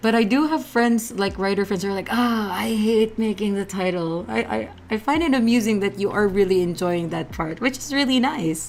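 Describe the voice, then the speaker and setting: A woman with a non-native accent and medium pitch speaks at a moderate pace with lively intonation and hardly any pauses over noticeable background noise. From Philippines. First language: Filipino language. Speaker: streamer host. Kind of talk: live stream interview. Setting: live stream.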